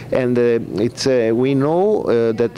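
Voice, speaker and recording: A man with an Italian accent, fairly slow delivery, ordinary pitch variation, and noticeable background noise. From Italy. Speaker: veterinarian and pet food company owner. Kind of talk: press conference presentation. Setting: press conference. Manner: halting, many hesitations.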